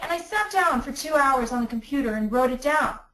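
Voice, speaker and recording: Animated and bright with a sharp tone, a woman speaks at a moderate pace in a high pitch with lively intonation. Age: 40s. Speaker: business coach presenting to entrepreneurs. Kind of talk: online webinar presentation. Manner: animated, repetitive with restarts.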